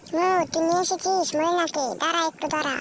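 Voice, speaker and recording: A squeaky, put-on character voice speaks at a moderate pace against clear background noise. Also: man, extremely high pitch for a man. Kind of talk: fan dub voicing. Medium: fan dub.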